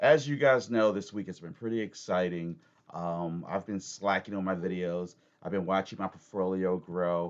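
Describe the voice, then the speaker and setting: With an American accent, a man talks at a moderate pace in a very deep, low voice with ordinary pitch variation. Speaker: crypto YouTuber. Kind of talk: casual tutorial, technical analysis. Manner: halting, many fillers.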